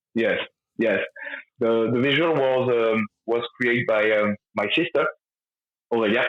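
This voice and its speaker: A man with a French accent speaks at a medium pitch with ordinary pitch variation and very even loudness. His pace is fairly slow, broken by long, frequent pauses. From France. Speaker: rock band lead singer. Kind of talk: interview. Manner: halting, many fillers.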